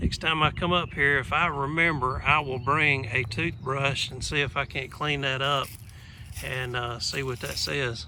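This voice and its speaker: With a Southern US accent, a man talks at a fairly slow pace in a fairly high pitch. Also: fairly even intonation. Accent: Southern US country. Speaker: vlogger. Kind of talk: casual vlog narration. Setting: outdoors. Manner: relaxed, many filler uh's.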